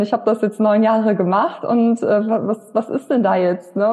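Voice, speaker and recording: With a normal speaking voice, a woman talks at a moderate pace in a fairly high pitch with ordinary pitch variation. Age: 30s. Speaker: women's health coach. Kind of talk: interview. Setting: in person.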